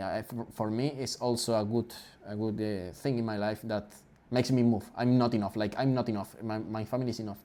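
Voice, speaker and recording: A man with a Spanish accent talks at a fairly quick pace and medium pitch. His tone is dark and mellow, with fairly even intonation. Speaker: podcast host. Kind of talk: casual chat. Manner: halting.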